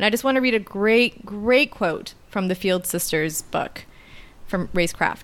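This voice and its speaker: With a Canadian accent, a woman speaks in a normal speaking voice of medium pitch with lively intonation. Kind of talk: casual political discussion.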